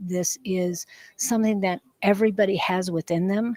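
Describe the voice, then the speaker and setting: A plain, everyday voice from a woman, medium in pitch and moderate in pace, with ordinary pitch variation. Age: 60s. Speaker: psychic reader. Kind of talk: casual talk to camera.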